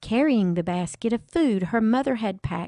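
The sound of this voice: An unforced reading voice carries the text.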